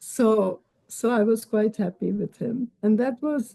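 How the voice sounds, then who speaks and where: The woman's voice is medium in pitch, somewhat breathy and dark and mellow in tone, recorded with a dry, close sound and no echo. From Mumbai, India. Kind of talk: interview answer.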